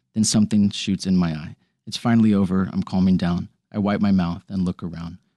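With an American accent, a man talks fairly quickly at a very deep, low pitch and with fairly even intonation. The sound is dry and close with no echo, over a quiet background. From Texas. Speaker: actor. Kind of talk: casual chat. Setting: in-person recording.

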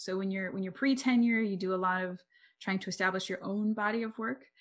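A woman has an unremarkable speaking voice, medium in pitch, with fairly even intonation. The recording is very clean, with a silent background. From US, military family that moved often. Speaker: psychology professor. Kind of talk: interview.

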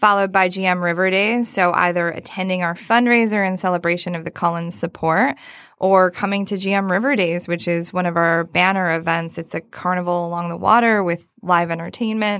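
In a very clean recording with a silent background, a woman with a normal speaking voice talks at a fairly quick pace and medium pitch, with fairly even intonation and hardly any pauses. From Michigan (Saginaw). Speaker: nonprofit fundraising executive. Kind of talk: interview conversation.

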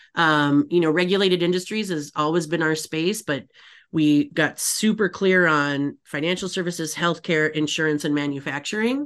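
Over a quiet background, a woman with an American accent uses an ordinary speaking voice. Her pitch is fairly low, with ordinary variation and a moderate pace. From Michigan, Upper Peninsula. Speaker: agency CEO and author. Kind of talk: casual interview chat.

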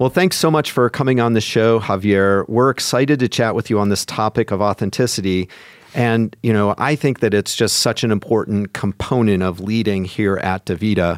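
In an unremarkable speaking voice, a man talks at a moderate pace with a fairly low pitch, ordinary pitch variation, very even loudness and hardly any pauses, the sound dry and close with no echo. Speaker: leadership coach, podcast co-host. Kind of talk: podcast interview.

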